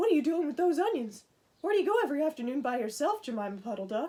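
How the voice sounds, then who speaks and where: Doing a put-on character voice, a woman speaks at a high pitch and a very fast pace with very wide pitch swings. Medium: read story.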